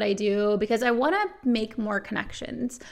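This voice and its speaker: An ordinary speaking voice from a woman, fairly high in pitch, at a moderate pace with fairly even intonation. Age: 30s. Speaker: sobriety podcast host. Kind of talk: casual monologue.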